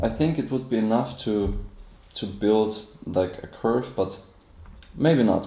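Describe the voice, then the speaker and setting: Lively intonation and a dark, mellow tone mark this voice with a non-native accent, heard with audible room echo. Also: man. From Austria. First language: German. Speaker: inventor presenting his product. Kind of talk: live product demonstration. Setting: live stream.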